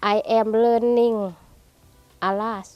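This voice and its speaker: A woman with a Lao accent, fairly high in pitch, monotone and flat, at a very slow pace. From Laos. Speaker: ESL student. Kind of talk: testimonial.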